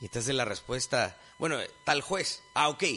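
Noticeable noise fills the background. Over it, a man speaks at a moderate pace. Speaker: lecturer. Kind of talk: lecture.

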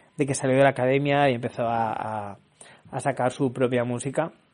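A man at a fairly quick pace, monotone and flat in intonation. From Barcelona, Spain. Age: young. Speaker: podcaster. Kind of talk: casual monologue.

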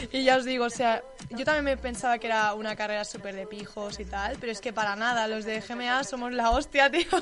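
A woman speaks at a fairly high pitch and a fairly quick pace, with hardly any pauses and fairly even intonation. Noticeable background noise is present. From Catalonia, Tarragona. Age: young. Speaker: student radio co-host. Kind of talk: casual student radio show. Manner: halting.

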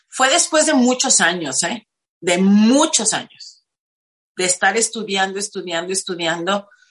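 This woman has an ordinary speaking voice at a medium pitch. She talks at a fairly slow pace with lively intonation. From Mexico, Tijuana. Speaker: spiritual life coach. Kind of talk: interview testimony.

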